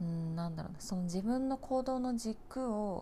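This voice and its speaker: A woman talks at a moderate pace with lively intonation. Her tone is dark and mellow, and somewhat breathy. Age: 20s. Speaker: nurse and podcast host. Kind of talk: casual solo monologue. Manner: halting, many fillers and pauses.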